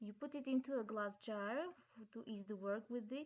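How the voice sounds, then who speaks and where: A dark, mellow tone with a non-native accent and ordinary pitch variation. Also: woman. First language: not English. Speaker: DIY crafter. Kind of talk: craft tutorial narration. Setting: laptop microphone.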